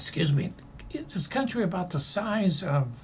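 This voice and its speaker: A man speaks at a moderate pace with vocal fry. Room echo is audible. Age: 80s+. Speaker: former ambassador and anti-hunger advocate. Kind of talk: interview conversation. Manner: halting, many fillers.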